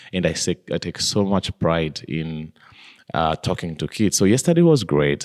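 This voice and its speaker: The recording is very clean with a silent background. A man speaks at a moderate pace with a very deep, low pitch. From Kenya, village near Mount Kenya. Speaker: wildlife conservationist. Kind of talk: interview conversation. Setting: studio.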